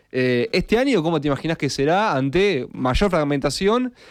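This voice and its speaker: With an unremarkable speaking voice, a man talks at a moderate pace, fairly high in pitch and with lively intonation, over a quiet background. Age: 30s. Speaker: radio host. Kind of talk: radio interview.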